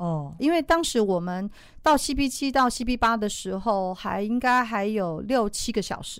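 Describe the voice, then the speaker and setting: In an unremarkable speaking voice, lively intonation comes through at a fairly slow pace on a very clean recording with a silent background. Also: woman, fairly high pitch for a woman. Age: 50s. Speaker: ultramarathon runner. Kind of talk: interview.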